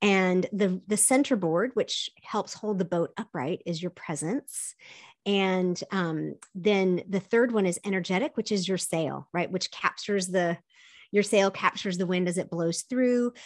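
A woman with a normal speaking voice talks fairly slowly at a medium pitch, with ordinary pitch variation. The recording is very clean and the background silent. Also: dry, close sound with no echo. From US South, partly raised in Korea. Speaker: optimism coach. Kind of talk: interview conversation.

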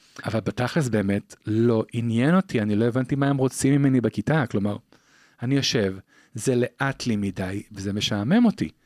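A man speaks at medium pitch and a moderate pace with ordinary pitch variation. The recording is very clean with a silent background and a dry, close sound with no echo. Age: 30s. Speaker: dentist and psychotherapist. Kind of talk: interview. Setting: studio. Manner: fluent and fervent.

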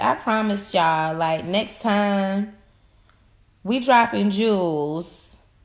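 Against a quiet background, a woman's fairly high voice carries an animated tone and lively intonation. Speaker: podcast host. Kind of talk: casual chat.

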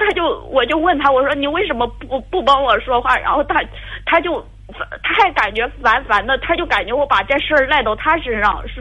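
A woman speaks with a high pitch for a woman. Noticeable background noise sits behind her. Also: lively intonation, moderate pace. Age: 30s. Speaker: caller seeking relationship advice. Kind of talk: phone-in advice call. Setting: phone call. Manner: halting.

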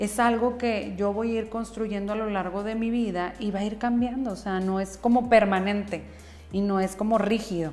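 Speaking at a moderate pace with fairly even intonation and a medium pitch, a woman is heard amid noticeable background noise and audible room echo. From northern Mexico. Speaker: psychotherapist and podcast host. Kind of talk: solo podcast monologue.

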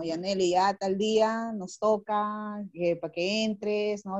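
A woman speaks in a normal speaking voice at a medium pitch, her intonation fairly even. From northern Peru, Chiclayo. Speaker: poet and lawyer. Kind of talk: casual chat. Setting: video call.

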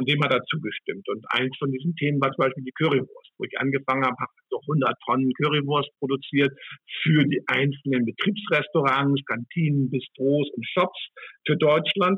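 With an unremarkable speaking voice, a man talks at a moderate pace in a fairly high pitch, his intonation fairly even but his loudness swinging widely. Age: 60s. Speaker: hospitality executive. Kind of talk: interview.

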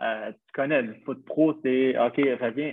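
Very slow speech from a man at medium pitch, the intonation fairly even. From Quebec, Montreal. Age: 20s. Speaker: professional footballer. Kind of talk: casual interview.

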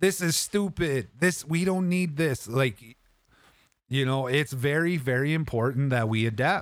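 On a very clean recording with a silent background, a man in an unremarkable speaking voice talks at a fairly slow pace with ordinary pitch variation. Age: 30s. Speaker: video game streamer and podcaster. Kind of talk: casual livestream podcast talk. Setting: live stream with chat. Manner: casual, friendly, upbeat.

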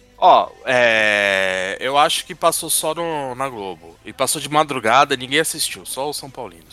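Over noticeable background noise, a man at a medium pitch talks fairly slowly with hardly any pauses, lively intonation and big swings in loudness. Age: 40s. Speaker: podcast co-host. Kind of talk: casual chat.

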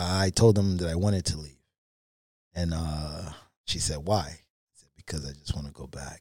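A man with a New York accent and a dark, mellow tone, at a moderate pace, in a very clean recording with a silent background. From Brooklyn, New York. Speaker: table tennis player and coach. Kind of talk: casual interview storytelling.

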